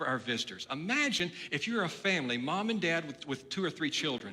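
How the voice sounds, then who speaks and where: With noticeable background noise behind him, a man talks at a very fast pace with lively intonation. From Texas (Nederland, southeast Texas). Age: 60s. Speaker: pastor. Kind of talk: sermon. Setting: church.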